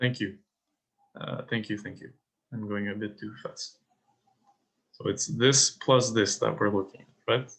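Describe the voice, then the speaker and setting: A man at a fairly slow pace, with fairly even intonation, big swings in loudness and long, frequent pauses. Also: medium pitch for a man. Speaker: teaching assistant running exam review. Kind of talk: lecture. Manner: halting.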